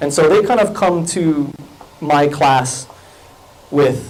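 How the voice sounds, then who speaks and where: Ordinary pitch variation amid noticeable background noise and audible room echo. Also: man. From Hawaii, Kahaluu on Oahu. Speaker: college English teacher and fiction writer. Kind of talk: conference talk. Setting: lecture room with audience, microphone. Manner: animated, gestures a lot.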